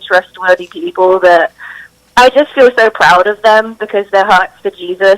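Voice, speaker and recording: A woman with a British accent speaks at medium pitch and a moderate pace, with ordinary pitch variation and a dry, close sound with no echo. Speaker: drummer and singer. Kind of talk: interview answer.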